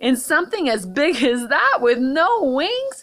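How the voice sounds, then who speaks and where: The voice is a put-on character voice. Its pace is fairly slow. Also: woman, high pitch for a woman. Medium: read story.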